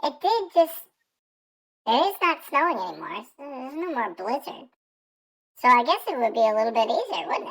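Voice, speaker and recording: A high-pitched, put-on character voice moves at a moderate pace. Long, frequent pauses break up the speech. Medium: actual play.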